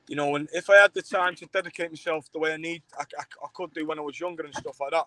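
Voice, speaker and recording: A man with a Manchester accent and a fairly high pitch talks at a very fast pace with fairly even intonation. His loudness swings widely, and the sound is dry and close with no echo. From Manchester, England. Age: 30s. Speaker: fight show promoter and former fighter. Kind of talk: casual interview. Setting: live stream. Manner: halting, repetitive fillers.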